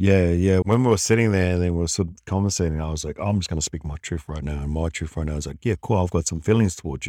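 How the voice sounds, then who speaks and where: In a New Zealand accent, a man speaks very fast with hardly any pauses, his very deep, low voice dark and mellow with ordinary pitch variation. The recording is very clean with a silent background and a dry, close sound with no echo. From New Zealand, Wellington. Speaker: podcast co-host, former construction worker. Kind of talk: casual chat.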